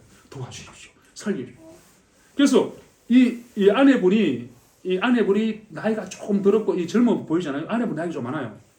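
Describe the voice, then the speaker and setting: At a very fast pace, a man speaks in a high pitch, with audible room echo around his voice. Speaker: missionary. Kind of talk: mission report talk at church.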